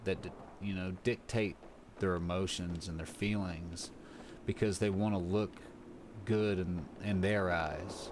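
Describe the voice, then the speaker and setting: A man talks at a moderate pace, his pitch fairly low and his intonation fairly even. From US South. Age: 30s. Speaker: streamer. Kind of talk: casual chat. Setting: live stream. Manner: soft-spoken. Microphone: too quiet.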